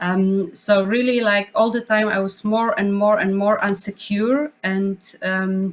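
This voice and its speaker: Speaking with a non-native accent, a woman talks at a fairly slow pace with fairly even intonation. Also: medium pitch for a woman, hardly any pauses. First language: not English. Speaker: choreographer / dance artist. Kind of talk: panel discussion. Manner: halting, many fillers.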